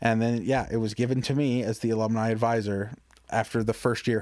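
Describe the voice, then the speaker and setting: With a plain, everyday voice and an American accent, a man talks at a fairly quick pace and medium pitch in a very clean recording with a silent background. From suburban Detroit, Michigan. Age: 20s. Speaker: stand-up comedian. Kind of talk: casual chat.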